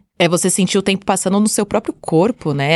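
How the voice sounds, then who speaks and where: A plain, everyday voice from a woman at medium pitch, with ordinary pitch variation, a quiet background and a dry, close sound without echo. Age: 30s. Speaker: astrologer. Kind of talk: casual chat.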